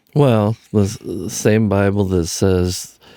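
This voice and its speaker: Very deep and low, a man's voice moves at a very slow pace with fairly even intonation and a dark, mellow tone. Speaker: podcast guest, host's father. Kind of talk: casual political discussion. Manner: deadpan.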